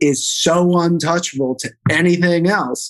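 This man has an unremarkable speaking voice with a fairly high pitch. He speaks in an American accent with fairly even intonation. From US Midwest, St. Louis. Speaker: meat company co-founder and former chef. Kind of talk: interview.

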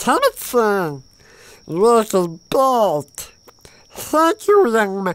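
Someone uses a put-on character voice at a fairly high pitch, speaking at a very slow pace with long, frequent pauses. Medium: game stream. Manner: warm, grateful.

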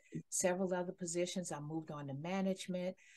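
With an American accent, a woman's fairly low voice moves with lively intonation. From Detroit, Michigan. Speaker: HR consultant; guest. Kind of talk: interview. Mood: warm, professional. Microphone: headset.

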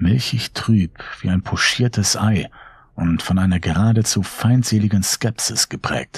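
Someone reads aloud plainly.

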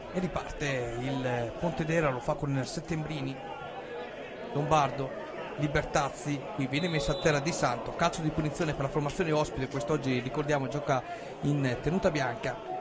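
Amid crowd noise in the background, the speaker uses ordinary pitch variation and leaves long, frequent pauses. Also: man, fairly high pitch for a man, moderate pace. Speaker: football commentator. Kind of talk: live sports commentary. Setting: stadium commentary for web broadcast. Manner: brisk, play-by-play delivery.

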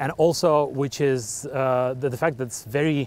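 A man speaks with fairly even intonation. The sound is dry, with no echo. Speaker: cycling vlogger. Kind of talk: casual vlog chat. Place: bicycle. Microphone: phone near.

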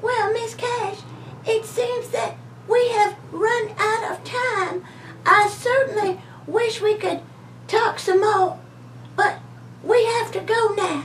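A cartoonish character voice that sounds female speaks at an extremely high pitch and a fairly slow pace, with long, frequent pauses and clear background noise behind it. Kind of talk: talk show interview host. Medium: puppet. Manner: gracious, polite.

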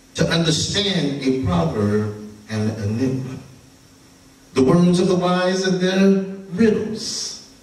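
Audible room echo surrounds the recording. A man talks at a very slow pace. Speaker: preacher. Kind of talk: scripture reading and prayer. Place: church.

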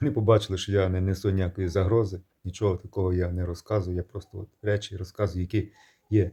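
A man speaks at a fairly quick pace with a dark, mellow tone and fairly low pitch. His voice is somewhat breathy, and the recording is very clean with a silent background. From Ukraine. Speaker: video blogger. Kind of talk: monologue to camera. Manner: animated.

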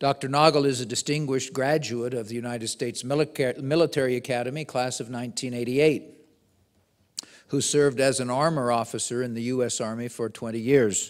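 Against a quiet background, a man keeps a moderate speed and fairly even intonation. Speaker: host introducing the speaker. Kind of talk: formal speaker introduction. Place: hall. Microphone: podium.

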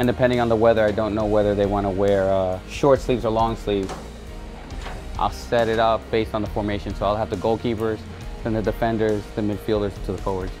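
Over clear music in the background, a man with a fairly low pitch talks at a very fast pace. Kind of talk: casual behind-the-scenes narration. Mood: upbeat, fond.

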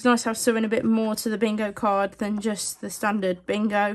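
A woman with a British accent speaking at a fairly quick pace. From UK. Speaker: scratchcard video creator; scratchcard vlogger. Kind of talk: casual scratchcard commentary; casual commentary. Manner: animated. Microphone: phone near.

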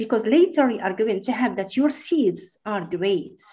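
A woman speaks with a fairly high, somewhat breathy voice. Her pitch swings very widely. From Morocco. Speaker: school teacher. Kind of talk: online lecture presentation. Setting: video call.

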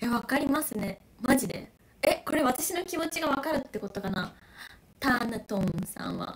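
A woman talks in an animated tone at a moderate pace. Her high pitch swings very widely. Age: 20s. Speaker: YouTuber doing live stream. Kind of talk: casual live-stream chat reading comments. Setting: live stream. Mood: excited, moved. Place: home room. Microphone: crackling audio; phone near.

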